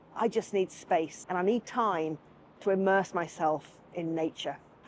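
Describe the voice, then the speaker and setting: A woman is the speaker. Her accent is British. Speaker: voice actor. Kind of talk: travel vlog talk to camera.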